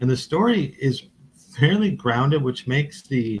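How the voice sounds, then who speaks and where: A man speaks at a moderate pace in a somewhat breathy voice. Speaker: podcast co-host. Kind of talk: casual chat. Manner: halting.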